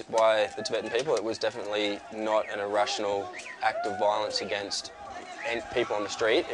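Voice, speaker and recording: Crowd noise sounds in the background while a man speaks. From Australia. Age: 20s. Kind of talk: interview answer.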